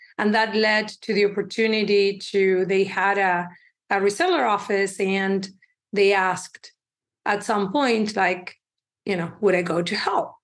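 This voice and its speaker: With a Spanish accent, a woman speaks fairly slowly at a medium pitch, keeping her intonation fairly even. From Uruguay. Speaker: tech company CEO. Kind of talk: interview.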